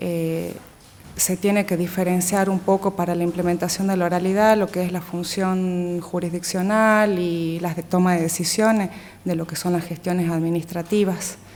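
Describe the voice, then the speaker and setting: At a moderate pace, a woman delivers her words in a fairly low pitch with monotone, flat intonation. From Metán, Salta province, northwestern Argentina. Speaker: lawyer, assistant prosecutor applying for a judgeship. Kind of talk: formal job interview. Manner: formal, with frequent filler hesitations.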